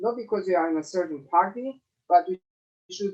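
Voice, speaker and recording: A man speaks with a Romanian accent. His pace is moderate. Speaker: election candidate. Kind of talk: closing statement at candidates forum. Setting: video call. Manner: halting, many fillers.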